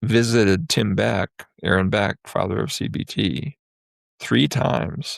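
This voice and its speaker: A man with a fairly low voice and vocal fry moves through very wide pitch swings. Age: 70s. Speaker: psychologist. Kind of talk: interview conversation.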